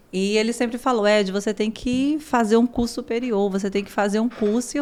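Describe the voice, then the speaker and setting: Her speech runs fairly quickly. Noticeable noise sits in the background. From São Paulo, Brazil. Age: 30s. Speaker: school director and family therapist. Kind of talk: podcast interview.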